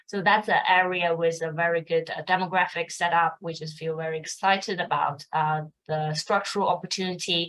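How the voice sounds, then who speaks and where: A woman talks at a fairly quick pace. Her delivery is monotone and flat. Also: fairly low pitch for a woman. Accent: Mandarin. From China. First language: Mandarin. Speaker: fund manager. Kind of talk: interview.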